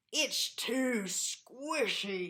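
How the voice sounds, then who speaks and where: A high, female-sounding put-on character voice. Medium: read story. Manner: grumbling.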